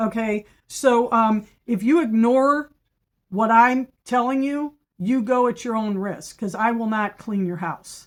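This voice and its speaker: Her voice fairly high, a woman speaks at a fairly slow pace with ordinary pitch variation on a very clean recording with a silent background. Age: 60s. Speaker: professional house cleaner and business owner. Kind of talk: informational monologue with reading of prepared points. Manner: conversational with frequent fillers and self-corrections; emphatic, assertive.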